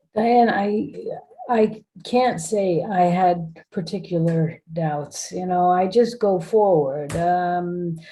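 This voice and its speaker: Very slow speech from a woman with an American accent, fairly low in pitch, with ordinary pitch variation. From United States. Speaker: corporate board director. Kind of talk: interview. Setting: video call.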